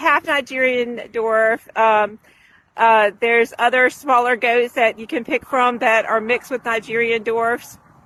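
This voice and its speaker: A woman's high, bright and sharp voice, dry and close with no echo, against a quiet background. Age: 50s. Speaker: small farmer. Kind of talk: casual tutorial. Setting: outdoors. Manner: conversational, with many fillers.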